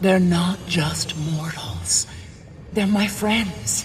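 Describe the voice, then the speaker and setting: The speaker uses a put-on character voice at a middle pitch. The pace is very slow, over light background noise. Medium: video game.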